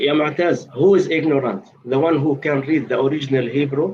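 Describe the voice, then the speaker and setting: Somewhat breathy and fairly quick, a man with an Arabic accent speaks at a fairly high pitch with ordinary pitch variation. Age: 50s. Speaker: debater. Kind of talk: heated debate. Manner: insistent, repetitive.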